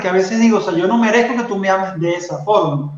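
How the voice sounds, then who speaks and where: Room reverberation can be clearly heard here. It hangs around a man's voice. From Venezuela. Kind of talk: faith testimony in interview.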